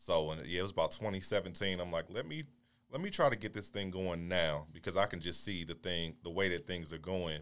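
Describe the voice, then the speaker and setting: Very deep, low male voice with an American accent, a fairly quick pace and ordinary pitch variation. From Baltimore, Maryland. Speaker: entrepreneur. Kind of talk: casual chat.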